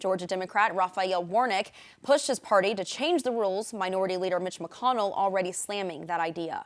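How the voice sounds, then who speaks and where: A woman with an American accent and a plain, everyday voice, medium pitch, ordinary pitch variation and a fairly quick pace, on a very clean recording with a silent background. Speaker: news anchor. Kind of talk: local TV news anchor read.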